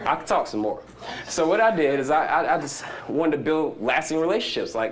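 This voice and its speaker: Lively intonation carries fairly quick speech, heard with audible room echo and noticeable background noise. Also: man, fairly high pitch for a man. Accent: Southern US. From US South. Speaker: startup entrepreneur speaker. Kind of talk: conference talk. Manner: animated; fast.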